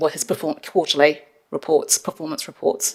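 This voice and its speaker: This woman has a fairly low voice and a New Zealand accent. She talks at a moderate pace. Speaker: council finance staff member. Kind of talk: council meeting briefing. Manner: loud.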